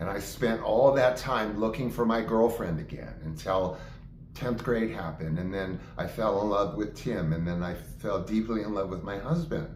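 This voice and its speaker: Noticeable background noise and audible room echo surround a man whose fairly low voice shows ordinary pitch variation. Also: moderate pace. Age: 60s. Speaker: actor and video diarist. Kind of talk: personal monologue. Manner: animated.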